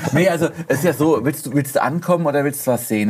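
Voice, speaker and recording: A man at a very fast pace, with lively intonation. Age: 40s. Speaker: car blogger. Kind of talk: casual chat.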